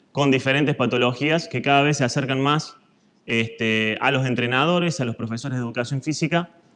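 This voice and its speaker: A man with a Córdoba accent, medium in pitch, at a fairly quick pace with ordinary pitch variation. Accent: Argentine Córdoba. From Argentina, Córdoba. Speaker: fitness instructor, physical education teacher. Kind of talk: lecture.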